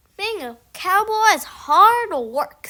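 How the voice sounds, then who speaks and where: A woman's put-on character voice, extremely high in pitch, with very wide pitch swings. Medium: read story.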